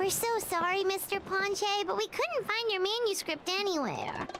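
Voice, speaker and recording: An extremely high, squeaky put-on character voice moves at a moderate pace against clear background noise. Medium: video game.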